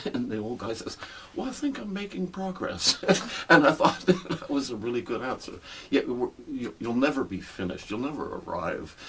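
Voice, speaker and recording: A man speaks at a moderate pace while noticeable background noise carries on behind him. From western Canada (Alberta, then Terrace, British Columbia). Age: 70s. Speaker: veteran musician. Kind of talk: casual interview. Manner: halting, many repeated words.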